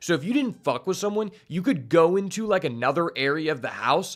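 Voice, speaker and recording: Speaking at a fairly quick pace with lively intonation, a man has an unremarkable speaking voice on a very clean recording with a silent background. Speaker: streamer reacting to a show. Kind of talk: reaction commentary. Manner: casual with many fillers.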